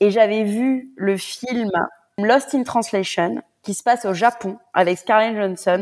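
A woman's fairly high voice moves with ordinary pitch variation on a very clean recording against a silent background. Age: 30s. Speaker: freelance content creator, expat. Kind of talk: interview testimony. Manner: halting.

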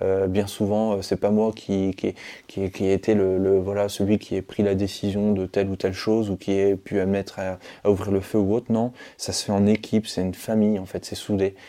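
A man's fairly low-pitched voice, dark and mellow in tone, with monotone, flat intonation at a moderate pace. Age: 30s. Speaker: former special forces soldier turned youtuber. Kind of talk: interview. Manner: halting, many repetitions and fillers.

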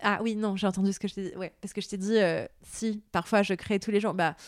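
On a very clean recording with a silent background, a woman at medium pitch speaks in a flat monotone at a moderate pace. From Lebanon, Beirut. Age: 30s. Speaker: novelist. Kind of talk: interview. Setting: at home.

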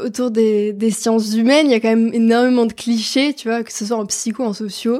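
Speaking at a fairly quick pace with hardly any pauses, a woman keeps a fairly high pitch and a monotone, flat intonation. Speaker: student. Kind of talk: casual interview.

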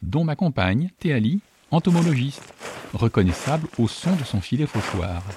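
A man at a fairly slow pace, his pitch swinging very widely, in a dry, close sound with no echo. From northern France, Château-Thierry area. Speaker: podcast host. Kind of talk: scripted narration.

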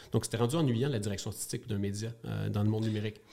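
This man has a Quebec accent. His pitch sits fairly low. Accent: Québécois French. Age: 40s. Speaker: media company co-founder. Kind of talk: interview. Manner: hesitant, frequent repetitions.

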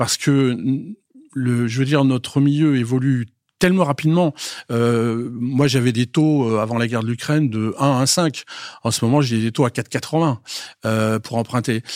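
Recorded very cleanly against a silent background, with a dry, close sound and no echo, a man speaks at medium pitch and a fairly slow pace, with ordinary pitch variation and long, frequent pauses. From Paris. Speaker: chief financial officer. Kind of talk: interview. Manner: halting.

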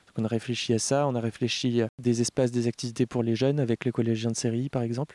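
Dark and mellow in tone, a man's medium-pitched voice moves at a fairly quick pace in a monotone, flat intonation, the sound dry and close with no echo. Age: 30s. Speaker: co-founder of a rural cultural association. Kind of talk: interview. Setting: outdoors. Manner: hesitant, with fillers.

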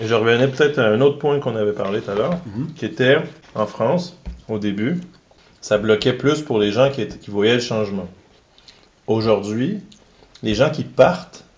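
A man in a Quebec accent, medium pitch, lively intonation, moderate pace, and long, frequent pauses. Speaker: agile coach. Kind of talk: interview.

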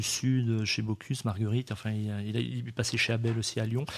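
A man speaks at a fairly quick pace in a flat, monotone way. The recording is very clean over a silent background. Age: 50s. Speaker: restaurant and wine shop owner. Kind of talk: radio interview. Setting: wine shop recording.

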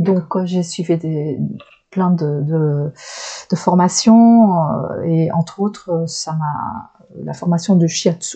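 A woman speaks at a very slow pace in a fairly low, somewhat breathy voice. Her tone is dark and mellow, with ordinary pitch variation. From Flanders, northern Belgium. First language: Dutch (Flemish) (speaking French). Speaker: shiatsu practitioner. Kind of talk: interview conversation. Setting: small private room. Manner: hesitant, searching for words.

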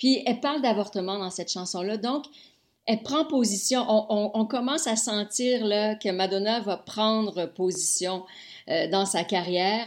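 On a very clean recording with a silent background, a woman with a Quebec accent speaks at a fairly slow pace in a fairly high pitch with ordinary pitch variation. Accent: Québécois French. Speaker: music TV host. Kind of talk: casual chat.

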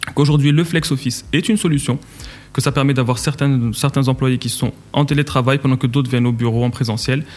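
Here a man speaks in an unremarkable speaking voice, medium in pitch, with fairly even intonation. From Morocco, Casablanca. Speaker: entrepreneur. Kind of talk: interview. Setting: studio.

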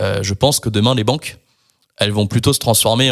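Very clean with a silent background, the recording has a man at medium pitch speaking at a moderate pace with fairly even intonation. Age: 30s. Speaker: tech startup co-founder. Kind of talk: casual interview. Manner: hesitant with fillers.

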